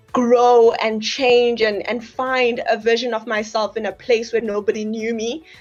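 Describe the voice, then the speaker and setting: With music in the background, a woman talks at a fairly high pitch with monotone, flat intonation and hardly any pauses. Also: fairly slow pace. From South Africa, Johannesburg. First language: a South African language. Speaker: graduate of a study-abroad program. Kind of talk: interview testimony. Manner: halting, many fillers and restarts.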